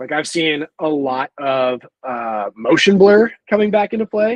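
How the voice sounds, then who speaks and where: A man speaks in a normal speaking voice, fairly high in pitch, with lively intonation. The sound is dry and close, with no echo. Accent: American. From US Midwest. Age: 20s. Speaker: documentary filmmaker and photographer. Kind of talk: podcast interview. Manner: casual, filler-heavy.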